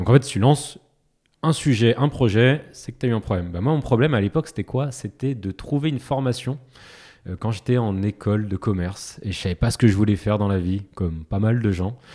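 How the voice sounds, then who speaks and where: Speaking at a fairly quick pace, the man has a fairly low pitch and a dark, mellow tone. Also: ordinary pitch variation. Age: 30s. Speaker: startup founder and product manager. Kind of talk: interview.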